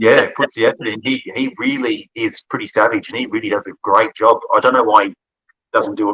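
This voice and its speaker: Speaking at a fairly quick pace with an Australian accent, a man is heard in a dry, close sound with no echo. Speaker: online promo wrestler. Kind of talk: podcast interview. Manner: halting, repeats words.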